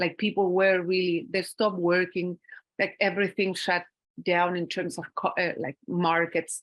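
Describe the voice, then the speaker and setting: In a Spanish accent, a woman with a fairly low pitch talks at a moderate pace with fairly even intonation, the sound dry and close with no echo. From Chile. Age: 50s. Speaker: academic speaker. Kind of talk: conference talk. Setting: conference panel with audience. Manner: halting.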